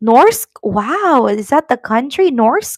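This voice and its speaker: Recorded dry and close with no echo, a woman speaks at a very slow pace. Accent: Filipino. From Philippines. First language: Tagalog. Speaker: YouTuber, immigration vlogger. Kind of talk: live stream chat. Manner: hesitant, many fillers.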